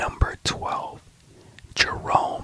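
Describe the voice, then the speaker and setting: A calm whisper comes through over noticeable background noise. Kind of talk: sleep story, whispered history facts narration. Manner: whispered, calm, slow.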